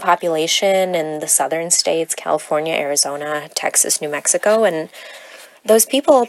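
Speaking at a fairly quick pace, a woman talks with an American accent. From born in Odessa, Ukraine, raised in the US. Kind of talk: solo monologue.

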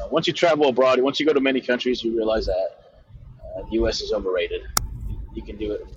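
A man at a very fast pace, broken by long, frequent pauses, against noticeable background noise. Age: 30s. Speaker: car salesman. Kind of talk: casual chat.

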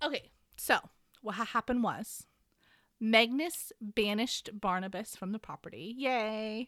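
Fairly slow and fairly high-pitched, a woman has a plain, everyday voice with ordinary pitch variation and big swings in loudness. The recording is very clean with a silent background, the sound dry and close with no echo. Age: 30s. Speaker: podcast co-host. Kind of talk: casual chat with book recap.

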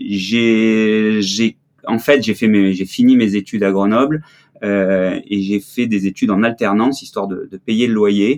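The speaker is a man with a fairly low voice. His intonation stays fairly even. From southern France (Marseille). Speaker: ski photographer. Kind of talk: interview. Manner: hesitant, many fillers.

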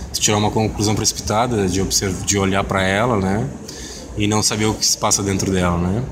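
Fairly quick, fairly low male speech with very even loudness and fairly even intonation, amid audible room echo and noticeable background noise. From Rio Grande do Sul, Brazil (Pelotas). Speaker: comics artist. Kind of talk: interview. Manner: halting, with many fillers.

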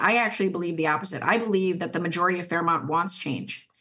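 A woman speaks with a Minnesota accent. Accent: Upper Midwest (Minnesota) American. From southern Minnesota. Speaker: city council member. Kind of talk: casual interview.

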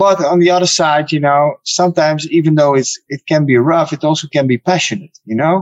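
A man with a Dutch accent, fairly high pitch and hardly any pauses. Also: fairly even intonation. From Netherlands. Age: 30s. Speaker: kickboxer. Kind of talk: interview. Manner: halting.

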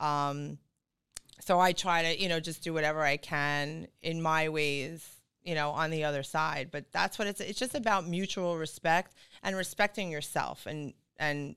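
A woman at a fairly low pitch with a bright, sharp tone, ordinary pitch variation and moderate pace, in a very clean recording with a silent background. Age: 40s. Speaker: real estate broker. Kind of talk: casual chat. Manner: animated.

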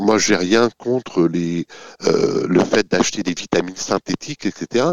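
A man is talking. The pace is very slow. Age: 50s. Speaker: company executive. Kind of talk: interview. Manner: hesitant, repeats words; enthusiastic.

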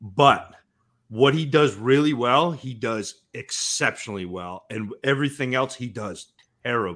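A man speaks at a fairly slow pace in a medium pitch, with ordinary pitch variation and big swings in loudness. He has a plain, everyday voice, on a very clean recording with a silent background. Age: 40s. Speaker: fantasy football analyst. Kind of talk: casual chat.

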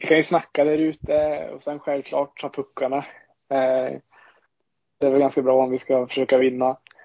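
A man's fairly high voice, flat and monotone, at a moderate pace with big swings in loudness. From Sweden, Ångermanland (Bollstabruk). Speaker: ice hockey goaltender. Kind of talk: podcast interview.

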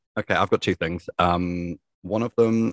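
In a southern English accent, a man speaks at a moderate pace with a very deep, low pitch. His intonation is fairly even, and the sound is dry and close with no echo. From southern England. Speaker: podcast co-host. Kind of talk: casual chat. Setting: remote recording.

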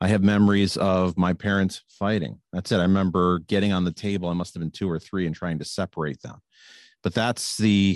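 A man talks at a fairly quick pace. His very deep, low voice keeps fairly even intonation. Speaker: recovering alcoholic sharing story. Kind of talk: personal testimony. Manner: smooth delivery.

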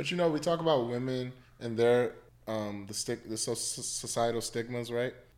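An ordinary speaking voice with an American accent, ordinary pitch variation and a moderate pace. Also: man, medium pitch for a man. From US Mid-Atlantic (Washington DC area). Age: 30s. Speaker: psychologist. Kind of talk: casual chat.

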